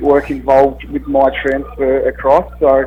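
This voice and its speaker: Noticeable background noise sits behind this recording. A man speaks in an Australian accent. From Australia, Melbourne. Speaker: college football punter. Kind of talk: radio interview.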